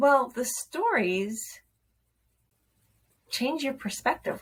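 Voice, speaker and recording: A woman talks at a fairly slow pace with lively intonation. Her voice is somewhat breathy. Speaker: self-development video host. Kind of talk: casual vlog talk to camera. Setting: at home, children going to bed. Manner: conversational, informal.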